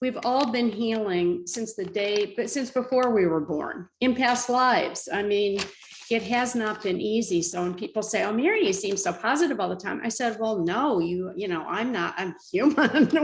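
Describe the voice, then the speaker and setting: A woman at a moderate pace with hardly any pauses and lively intonation, over noticeable background noise. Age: 70s. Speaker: spiritual author. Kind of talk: interview.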